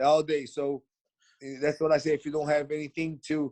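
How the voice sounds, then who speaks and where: In a Portuguese accent, a man talks at a fairly high pitch, with a dry, close sound and no echo. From Brazil. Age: 40s. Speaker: mixed martial artist. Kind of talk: casual chat. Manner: fast; animated.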